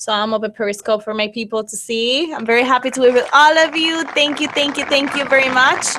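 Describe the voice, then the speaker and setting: A woman's raised, projected, high-pitched voice at a very fast pace with hardly any pauses, over noticeable background noise. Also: ordinary pitch variation. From Cuba. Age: 20s. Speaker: beauty pageant winner. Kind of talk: interview.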